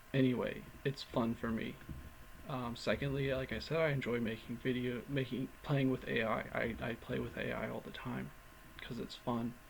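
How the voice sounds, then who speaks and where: A plain, everyday voice from a man at medium pitch, with fairly even intonation and a moderate pace. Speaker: vlogger. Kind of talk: casual vlog monologue. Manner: rambling with filler words.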